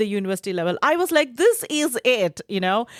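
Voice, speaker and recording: On a very clean recording with a silent background and a dry, close sound with no echo, a woman with an Indian accent speaks at a moderate pace and a fairly high pitch. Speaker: university lecturer. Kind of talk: podcast interview.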